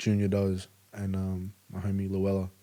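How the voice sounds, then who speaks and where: Speaking at a moderate pace, a man with a fairly low pitch talks with an Australian accent. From Melbourne, Australia. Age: 20s. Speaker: rapper. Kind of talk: casual chat. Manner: casual, lots of filler words.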